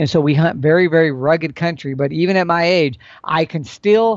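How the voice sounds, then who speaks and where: Pitched fairly high, a man speaks in a plain, everyday voice. His pace is moderate. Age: 60s. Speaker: elk hunting expert. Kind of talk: casual interview. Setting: remote call.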